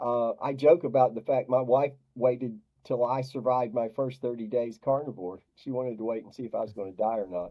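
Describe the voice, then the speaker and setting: Loudness swings widely as a man with an ordinary speaking voice and medium pitch talks at a fairly quick pace with fairly even intonation. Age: 60s. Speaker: diet coach for depression. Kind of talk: interview.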